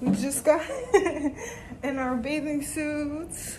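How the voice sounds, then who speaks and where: There is noticeable background noise behind a woman whose pitch varies in an ordinary way. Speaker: travel vlogger. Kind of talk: casual vlog chat. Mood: cheerful, laughing. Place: home room. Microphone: phone near.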